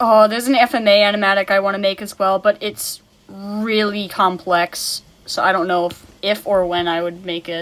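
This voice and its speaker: Here is a woman with an unremarkable speaking voice, medium in pitch, at a moderate pace. Her intonation is fairly even. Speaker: streamer drawing live. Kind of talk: casual chat.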